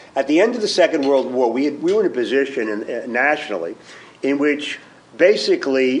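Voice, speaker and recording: With noticeable background noise behind him, a man speaks at a moderate pace in a fairly high pitch with lively intonation. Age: 60s. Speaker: fund manager, former professor. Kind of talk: panel presentation. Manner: halting, many fillers.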